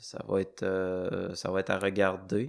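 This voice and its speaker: The recording is very clean, with a silent background. A man speaks with a fairly low pitch in a flat monotone. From Quebec, Charlevoix (Baie-Saint-Paul). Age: 20s. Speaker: bus driver and trail runner. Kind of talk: interview.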